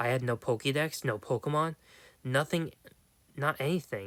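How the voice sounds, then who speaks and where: Here a man puts on a raspy character voice with a fairly high pitch. He moves at a moderate pace with ordinary pitch variation. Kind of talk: horror story reading. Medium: read story. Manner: hesitant, halting delivery with self-corrections.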